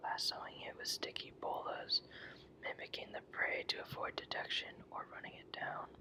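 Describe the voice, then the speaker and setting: A whispered voice. It moves at a moderate pace. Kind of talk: whispered reading of an encyclopedia article; ASMR reading. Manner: whispered, ASMR.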